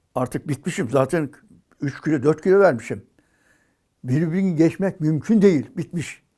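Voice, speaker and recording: In a dark, mellow tone, a man talks at a moderate pace with a fairly high voice. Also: ordinary pitch variation. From Turkey, Balıkesir. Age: 80s+. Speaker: retired athlete and coach. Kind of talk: interview monologue, life story.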